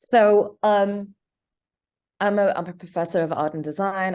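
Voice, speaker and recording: Against a quiet background, a woman with a British accent speaks at a moderate pace in a dark, mellow tone with monotone, flat intonation. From England (London). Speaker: filmmaker. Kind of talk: interview. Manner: halting.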